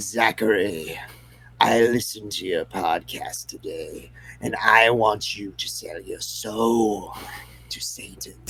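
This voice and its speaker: Someone speaks in a put-on character voice at a fairly slow pace. There is light background noise. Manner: eerie, menacing.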